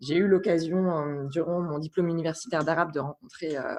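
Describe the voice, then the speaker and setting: With a very deep, low pitch, a woman talks at a moderate pace with ordinary pitch variation. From France, Burgundy. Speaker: guest professional. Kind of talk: podcast interview. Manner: hesitant, many fillers.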